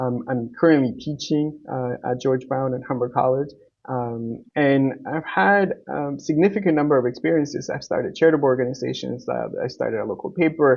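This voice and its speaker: An unremarkable speaking voice with a Canadian accent, moderate pace, hardly any pauses and ordinary pitch variation. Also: man, fairly high pitch for a man. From Uruguay, came to Canada as a child. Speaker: political candidate. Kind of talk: interview. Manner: frequent filler words.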